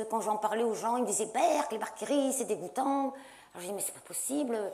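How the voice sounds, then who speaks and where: The loudness swings widely and there are hardly any pauses, with noticeable background noise and audible room echo. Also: woman. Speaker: science journalist and author. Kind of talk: panel debate talk. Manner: fast.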